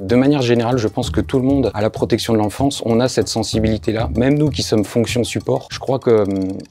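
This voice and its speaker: Over background music, a man at a medium pitch speaks at a very fast pace with hardly any pauses, ordinary pitch variation and very even loudness. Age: 30s. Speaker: public sector finance officer. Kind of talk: testimony. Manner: hesitant, with frequent fillers.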